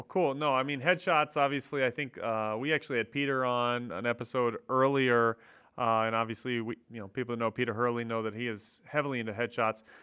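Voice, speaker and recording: A man with a plain, everyday voice talks at a fairly quick pace, his medium pitch held in fairly even intonation. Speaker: podcast host. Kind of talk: casual interview.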